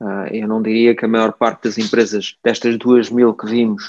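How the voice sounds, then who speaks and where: Flat, monotone intonation from a man at a medium pitch and moderate pace. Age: 40s. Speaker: venture capital investor. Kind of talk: interview. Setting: remote call.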